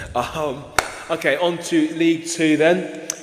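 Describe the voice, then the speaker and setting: Noticeable background noise can be heard as the man talks. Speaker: football podcast host. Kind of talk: casual podcast discussion.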